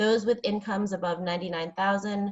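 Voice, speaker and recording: A woman's somewhat breathy voice at a fairly quick pace, with ordinary pitch variation. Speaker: employment attorney. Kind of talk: webinar presentation. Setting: online webinar. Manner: fast.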